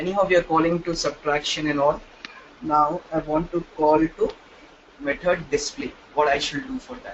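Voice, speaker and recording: Amid noticeable background noise, a man talks at a moderate pace with fairly high pitch, ordinary pitch variation and big swings in loudness. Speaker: programming teacher. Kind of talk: live online class.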